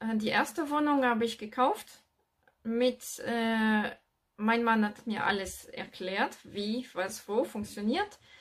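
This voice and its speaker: Speaking at a very slow pace, a woman with a French accent uses a fairly high pitch and ordinary pitch variation. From France. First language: French (speaking German). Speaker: real estate investor and business coach. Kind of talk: video monologue with advice. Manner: halting, with fillers.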